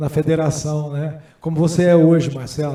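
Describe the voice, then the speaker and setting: This man's voice sits fairly high and has a dark, mellow tone. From Brazil, Goiás (city of Goiás). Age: 60s. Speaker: senate candidate and businessman. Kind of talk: candidate hearing speech.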